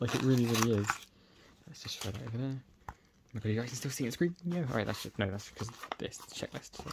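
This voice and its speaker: Somewhat breathy and very fast, a man with a British accent talks over noticeable background noise. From UK. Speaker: YouTuber. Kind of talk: unboxing video. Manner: animated. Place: home room.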